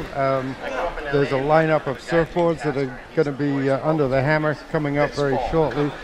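Over noticeable background noise, a man with a fairly high pitch talks at a moderate pace in a monotone, flat intonation. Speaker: TV co-host and appraiser. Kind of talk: event commentary and appraisal. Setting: auction venue. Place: hall.

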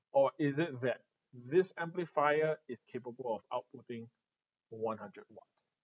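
Speaking with a Singaporean accent, a man moves at a fairly slow pace, with big swings in loudness, ordinary pitch variation and long, frequent pauses. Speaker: retail staff presenting audio products; presenter. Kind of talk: live-streamed product tutorial. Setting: showroom studio, live stream.

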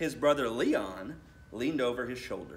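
A man speaks at a moderate pace, his pitch medium for a man.

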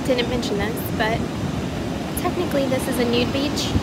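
A woman speaks at a fairly slow pace over loud background noise. The sound is dry, with no echo. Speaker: vlogger. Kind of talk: casual vlog chat. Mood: relaxed, amused. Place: beach. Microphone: phone near.

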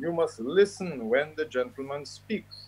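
The speaker talks at a very slow pace with ordinary pitch variation. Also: man. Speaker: commentator. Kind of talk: commentary. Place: home room.

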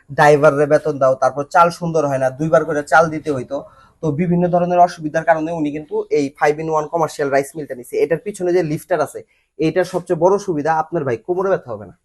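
A man with an unremarkable speaking voice talks at a fairly high pitch. His intonation is fairly even, against a quiet background. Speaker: machinery company presenter. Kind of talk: promotional video presentation.

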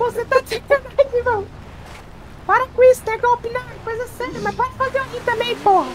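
A put-on character voice, squeaky and extremely high, at a fairly quick pace over light background noise. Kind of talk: casual, profane. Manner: joking, disguised.

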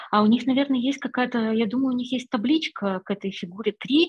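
Somewhat breathy, a woman speaks with ordinary pitch variation over a quiet background. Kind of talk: online seminar discussion. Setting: video call. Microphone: video call.

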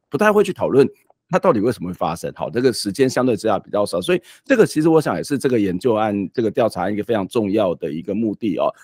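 Against a quiet background, a man talks at a very fast pace and medium pitch with very wide pitch swings, in a dry sound with no echo. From Taiwan. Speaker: talk show host. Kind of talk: interview. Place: home room. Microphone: studio mic.

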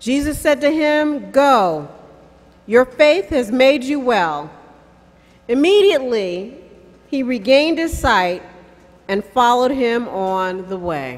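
Using very wide pitch swings, a woman with a high voice speaks at a very slow pace with long, frequent pauses. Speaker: scripture reader. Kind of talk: scripture reading. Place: stage. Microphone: podium.

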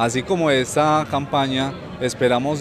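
Noticeable background noise runs under a man's speech. His intonation stays fairly even, and the sound is dry with no echo. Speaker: community TV reporter. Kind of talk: news narration.

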